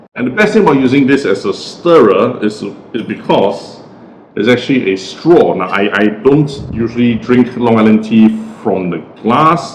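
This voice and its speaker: Against noticeable background noise, a man speaks at medium pitch and moderate pace. His intonation is lively. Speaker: cocktail reviewer. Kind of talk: tutorial. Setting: at home. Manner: casual.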